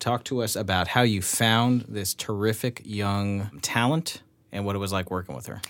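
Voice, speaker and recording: An ordinary speaking voice from a man, fairly low in pitch, with ordinary pitch variation and a moderate pace. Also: very clean recording, silent background. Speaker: podcast host. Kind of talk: casual interview.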